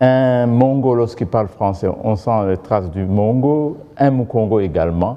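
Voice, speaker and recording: With a Rwandan accent, a man speaks at a fairly slow pace with hardly any pauses, a medium pitch and ordinary pitch variation. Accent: Kinyarwanda-accented French. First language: Kinyarwanda (speaking French). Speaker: governance expert. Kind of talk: TV interview. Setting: TV studio.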